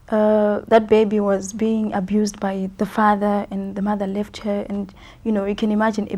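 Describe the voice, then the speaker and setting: Somewhat breathy and dark, mellow in tone, a woman's medium-pitched voice moves at a fairly quick pace in a flat monotone. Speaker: gospel singer. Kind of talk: TV interview. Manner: hesitant, many fillers.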